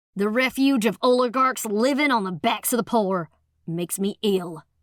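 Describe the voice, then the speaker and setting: Using a put-on character voice, a woman speaks at a fairly high pitch and moderate pace. The sound is dry and close with no echo. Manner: sneering, scornful, bitter.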